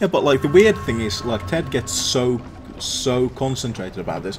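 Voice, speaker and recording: With a northern English accent, a man speaks in very wide pitch swings. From northern England. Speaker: streamer. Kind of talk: casual chat.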